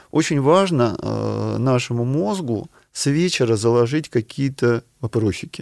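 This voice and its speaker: A man speaks in a normal speaking voice at a fairly slow pace, medium in pitch with ordinary pitch variation, and the sound is dry and close with no echo. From Ukraine, small steppe town. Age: 50s. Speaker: neuroscientist professor. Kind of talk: interview.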